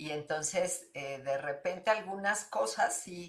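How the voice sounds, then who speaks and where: A woman speaks at a very slow pace. Her intonation is lively. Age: 60s. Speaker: twelve-step group speaker. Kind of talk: support group sharing.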